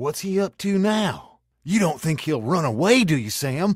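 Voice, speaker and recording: In a put-on character voice, a man speaks at a moderate pace, high-pitched and whiny, his pitch swinging very widely. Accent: rural American. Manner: nervous, whining.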